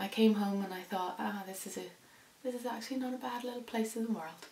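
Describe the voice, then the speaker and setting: The voice moves with ordinary pitch variation, and the recording carries audible room echo and noticeable background noise. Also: woman. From Indonesia (international school), later Northern Ireland. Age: 30s. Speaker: sewing vlogger. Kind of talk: casual vlog talk. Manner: hesitant, many fillers.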